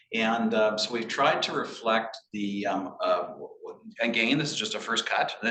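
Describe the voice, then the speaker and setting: A man's voice with audible room echo. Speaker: municipal staff planner. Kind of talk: staff presentation at council meeting. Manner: fast; halting, many fillers and repetitions.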